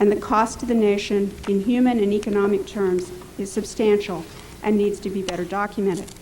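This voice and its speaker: A woman at a medium pitch and fairly quick pace, monotone and flat, against noticeable background noise. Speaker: public health official testifying. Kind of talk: formal prepared testimony. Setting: congressional hearing room. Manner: formal.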